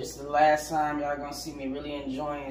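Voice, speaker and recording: The room echo is clearly audible. Light background noise can also be heard. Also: man. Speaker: vlogger cooking. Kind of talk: casual vlog chat. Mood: playful, joking. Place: kitchen.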